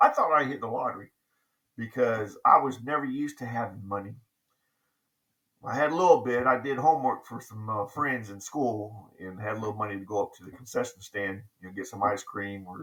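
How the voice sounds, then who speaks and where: A man with a bright, sharp tone and medium pitch talks at a fairly quick pace, showing big swings in loudness and ordinary pitch variation. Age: 60s. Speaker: navy veteran vlogger. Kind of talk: casual storytelling monologue. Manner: halting, many fillers.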